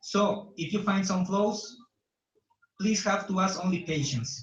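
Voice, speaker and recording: With a Bolivian accent, a man speaks at a fairly slow pace and a high pitch, using ordinary pitch variation. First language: Spanish. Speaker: conference organizer. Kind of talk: welcome speech read aloud. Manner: formal.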